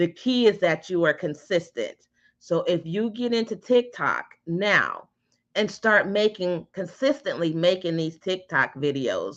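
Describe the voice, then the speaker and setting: In a normal speaking voice, a woman talks at a fairly slow pace with medium pitch. Her intonation is lively, and the background is quiet. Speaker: digital marketing instructor. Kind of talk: online class. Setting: live stream.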